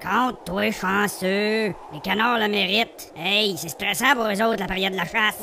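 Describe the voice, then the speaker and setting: Over clear background noise, a man with a high pitch uses a raised, projected voice, fairly even intonation and a moderate pace with hardly any pauses. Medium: machinima. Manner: irritated, curt.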